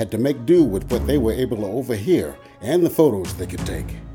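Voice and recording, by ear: Words are read aloud here in a natural voice.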